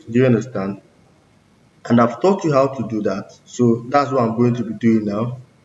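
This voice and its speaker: Somewhat breathy, a man speaks at a moderate pace with medium pitch and ordinary pitch variation. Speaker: coding tutorial creator. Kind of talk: tutorial.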